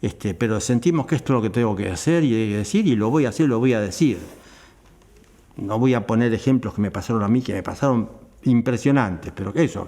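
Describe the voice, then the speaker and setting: A man of medium pitch talks at a fairly quick pace in a dark, mellow tone with ordinary pitch variation. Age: 80s+. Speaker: theatre actor and director. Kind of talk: interview.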